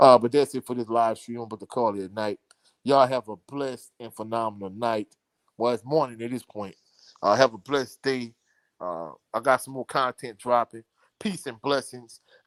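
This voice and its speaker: In a very clean recording with a silent background and a dry, close sound with no echo, a man speaks at a moderate pace and medium pitch, his intonation fairly even but his loudness swinging widely. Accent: strong Louisiana. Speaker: sports commentator. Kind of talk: live stream chat.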